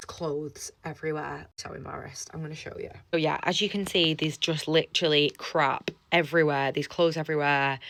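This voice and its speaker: With an English accent, a woman talks at a fairly quick pace in a very deep, low pitch, her intonation monotone and flat while her loudness swings widely. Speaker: fitness coach. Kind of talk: vlog. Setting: gym toilet. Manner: quiet; casual.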